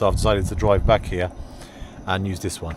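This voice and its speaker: A man's speech comes through over noticeable background noise. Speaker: van life vlogger. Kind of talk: travel vlog narration. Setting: outdoors.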